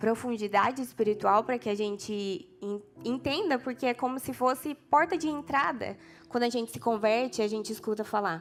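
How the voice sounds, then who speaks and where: A woman speaks with a São Paulo countryside accent at a fairly high pitch. Her intonation is lively, and music plays in the background. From interior of São Paulo state, Brazil. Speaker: preacher. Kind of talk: sermon. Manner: casual, with hesitations.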